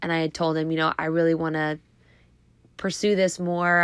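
Recorded very cleanly against a silent background, a woman with an American accent speaks at a fairly low pitch with fairly even intonation. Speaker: indoor cycling instructor. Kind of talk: casual monologue.

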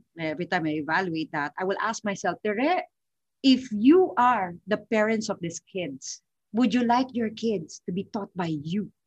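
A woman with a medium pitch and lively intonation speaks at a moderate pace, somewhat breathy, in a dry, close sound with no echo. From Philippines, Manila. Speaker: financial consultant. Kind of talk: interview.

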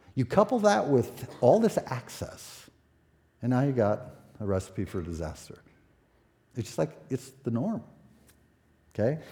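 A man at medium pitch with a dark, mellow tone and vocal fry, fairly slow pace, long frequent pauses, very wide pitch swings. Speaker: pastor. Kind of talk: sermon. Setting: church. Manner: halting.

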